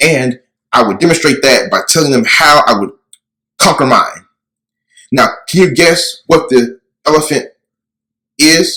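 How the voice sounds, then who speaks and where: Lively intonation and vocal fry mark this bright, sharp voice, which moves at a fairly slow pace with long, frequent pauses. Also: man, fairly high pitch for a man. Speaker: person who stutters, conference presenter. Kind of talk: workshop presentation to an audience. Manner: stuttering, with repeated syllables and words.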